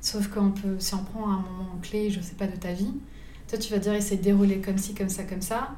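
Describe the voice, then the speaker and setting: A woman at a medium pitch with a flat, monotone delivery and a fairly quick pace, plus audible room echo and noticeable background noise. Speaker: wedding photographer. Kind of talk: casual interview. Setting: living room.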